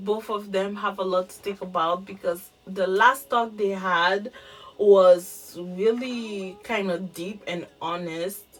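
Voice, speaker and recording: The speaker has a French accent and ordinary pitch variation. Loudness swings widely, with noticeable background noise behind it. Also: woman. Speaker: YouTuber reviewing TV shows. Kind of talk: casual video review. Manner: halting, many fillers and repeats.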